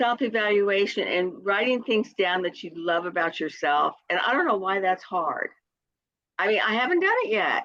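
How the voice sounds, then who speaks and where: This woman has a normal speaking voice. She speaks at a moderate pace with ordinary pitch variation. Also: medium pitch for a woman. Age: 60s. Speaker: direct sales consultant. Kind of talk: casual chat.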